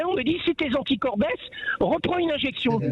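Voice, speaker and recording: Lively intonation marks a man talking at a fairly quick pace. Noticeable background noise runs underneath. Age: 60s. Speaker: caller. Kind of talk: heated debate. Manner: animated.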